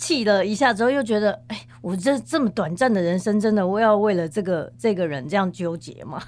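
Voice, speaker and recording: A woman with an unremarkable speaking voice talks at a fairly quick pace and a medium pitch. Her intonation is lively, with hardly any pauses. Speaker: professional organizer. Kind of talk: interview conversation.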